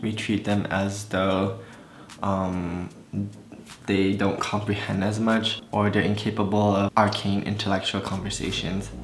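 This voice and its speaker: A man with an American accent, fairly low pitch, monotone, flat intonation and a fairly slow pace, amid audible room echo and noticeable background noise. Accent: American-sounding, hides Malaysian. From Malaysia. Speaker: beauty vlogger. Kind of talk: casual chat.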